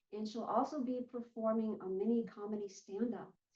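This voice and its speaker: A woman speaks at a fairly high pitch, somewhat breathy, with a dark, mellow tone. Her intonation stays fairly even. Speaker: talk show host. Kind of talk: interview host intro.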